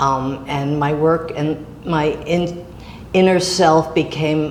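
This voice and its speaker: A woman speaks in a very deep, low voice with flat, monotone intonation. Noticeable background noise and an audible room echo come through. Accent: American. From New York. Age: 80s. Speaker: artist. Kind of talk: interview. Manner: halting.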